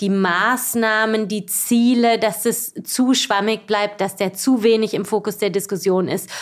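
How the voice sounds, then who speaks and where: On a very clean recording with a silent background, a woman at medium pitch speaks at a fairly slow pace with monotone, flat intonation. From southwestern Germany, Baden-Baden. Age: 40s. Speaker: cycling association executive. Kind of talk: casual interview. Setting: office.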